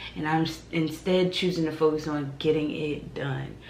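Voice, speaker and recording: A woman's very deep, low voice at a moderate pace, flat and monotone, with audible room echo and noticeable background noise. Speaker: vlogger. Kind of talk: casual vlog monologue. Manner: casual, conversational.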